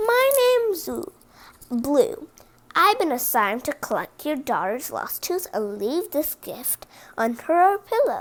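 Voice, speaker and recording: Using a put-on character voice, someone speaks at a fairly slow pace with very wide pitch swings. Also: woman, extremely high pitch for a woman. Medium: read story. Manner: earnest.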